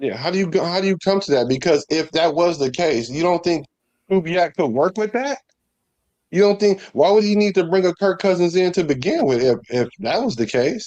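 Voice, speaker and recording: With an American accent, a man talks at a fairly quick pace in a high voice with lively intonation. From US, San Francisco Bay Area. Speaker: sports podcast co-host. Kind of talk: casual chat. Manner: animated.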